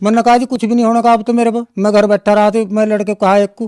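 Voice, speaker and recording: A man's high-pitched voice, dark and mellow in tone, with a dry, close sound and no echo. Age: 60s. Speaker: devotee giving testimony. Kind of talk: testimony. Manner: halting.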